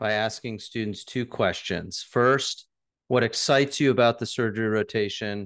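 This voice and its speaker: Over a quiet background, a plain, everyday voice speaks at a moderate pace. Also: man. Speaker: surgeon and podcast co-host. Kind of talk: casual interview chat.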